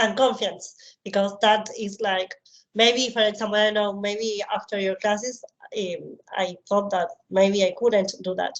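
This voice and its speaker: With a Spanish accent, a woman speaks fairly slowly at a medium pitch, her intonation monotone and flat. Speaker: psychologist. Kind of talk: interview.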